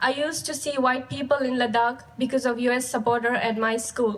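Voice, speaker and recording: A woman's high-pitched voice at a fairly quick pace, fairly even in intonation, over noticeable background noise. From Ladakh, India. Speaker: high school graduate. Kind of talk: graduation speech.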